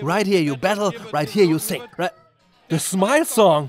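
Over music in the background, a man with a high pitch sounds upbeat and excited, his intonation lively. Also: moderate pace. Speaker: event reporter. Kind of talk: comedic event report voice-over. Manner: upbeat, excited.

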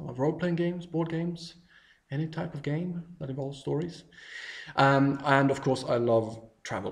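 At a moderate pace, a man with fairly high pitch and ordinary pitch variation speaks against a quiet background. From Sweden, countryside. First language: Swedish. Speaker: travel blogger. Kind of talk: video self-introduction. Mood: warm, friendly, enthusiastic. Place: home room. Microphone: webcam.

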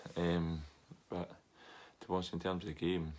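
In a Scottish accent, a man speaks with a very deep, low pitch and flat, monotone intonation. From Scotland. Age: 30s. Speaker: professional footballer; interviewee. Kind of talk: interview. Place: home room. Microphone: webcam.

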